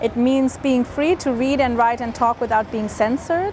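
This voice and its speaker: A high-pitched woman with an American accent, at a moderate pace with ordinary pitch variation, over noticeable background noise. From Williamsburg, Brooklyn, USA. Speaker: author. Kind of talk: interview answer.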